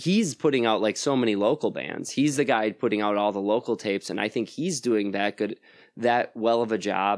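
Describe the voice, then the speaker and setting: On a very clean recording with a silent background, a man with an American accent speaks at medium pitch and moderate pace, with ordinary pitch variation, in an unremarkable speaking voice. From Wisconsin, US (Plymouth, near Sheboygan). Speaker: musician and record label owner. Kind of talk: casual interview chat. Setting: at his house.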